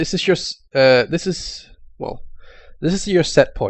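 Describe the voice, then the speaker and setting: In a Danish accent, a man speaks at a very slow pace with lively intonation. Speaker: YouTube tech explainer. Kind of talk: tutorial. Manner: halting, with fillers.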